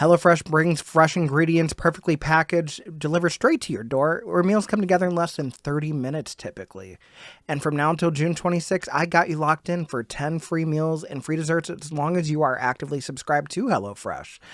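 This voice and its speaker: Fairly quick, fairly high male voice with hardly any pauses, ordinary pitch variation and a plain, everyday voice, on a very clean recording with a silent background and a dry, close sound with no echo. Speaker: podcast host. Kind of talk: sponsor read.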